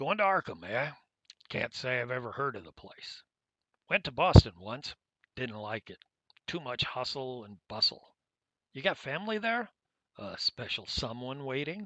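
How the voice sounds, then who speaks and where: Putting on a character voice, a man speaks in a raspy, medium-pitched voice with very wide pitch swings, big swings in loudness and long, frequent pauses, recorded with a dry, close sound and no echo. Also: moderate pace. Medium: actual play. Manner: folksy, chatty.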